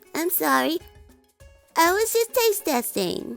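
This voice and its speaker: A cartoonish character voice speaks at a fairly slow pace over faint background music. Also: woman, extremely high pitch for a woman. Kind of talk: children's puppet show.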